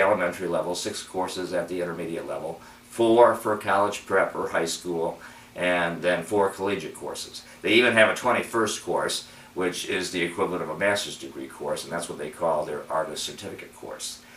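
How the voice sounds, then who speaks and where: Ordinary pitch variation at a moderate pace, with audible room echo and noticeable background noise. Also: man. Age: 60s. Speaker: adult piano student. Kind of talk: personal video commentary. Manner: halting.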